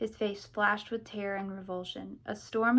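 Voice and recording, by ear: Reading aloud in a natural voice with fairly even intonation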